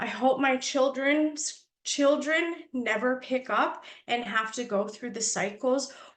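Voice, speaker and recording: A loud, very slow woman's voice, high in pitch, with ordinary pitch variation and a Canadian accent. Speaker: lived-experience advocate. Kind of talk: panel testimony.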